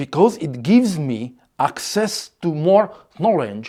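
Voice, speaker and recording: The speaker has a non-native accent and talks at a very slow pace. The recording is very clean, with a silent background. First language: Hungarian. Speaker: content creator. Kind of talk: scripted narration.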